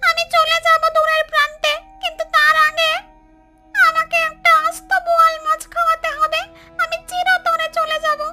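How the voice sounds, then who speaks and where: A female-sounding cartoonish character voice goes extremely high in pitch at a moderate pace. Faint music sits in the background. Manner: plaintive, hungry.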